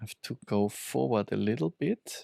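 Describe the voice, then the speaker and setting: At a very slow pace, a man with a non-native accent speaks in a fairly low pitch, with a dry, close sound and no echo. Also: very clean recording, silent background. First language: not English. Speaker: tech reviewer. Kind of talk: product review. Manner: halting, many fillers.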